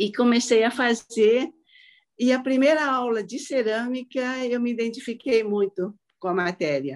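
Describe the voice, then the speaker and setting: A woman with a plain, everyday voice speaks at a fairly high pitch with ordinary pitch variation. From Brazil, southeast and Paraná. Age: 60s. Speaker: ceramic artist. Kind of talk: casual chat. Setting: video call.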